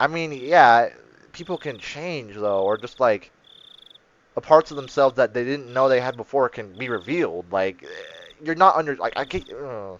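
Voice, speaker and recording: A man's medium-pitched voice with lively intonation and big swings in loudness, dry and close with no echo. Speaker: gaming video creator. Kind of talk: let's play commentary reading visual novel aloud. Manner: animated; fast and urgent.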